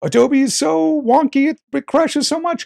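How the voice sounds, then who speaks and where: A man talks with very wide swings in pitch. The sound is dry and close, with no echo. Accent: East Coast US. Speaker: podcast host, video editing professional. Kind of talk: casual podcast chat. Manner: animated.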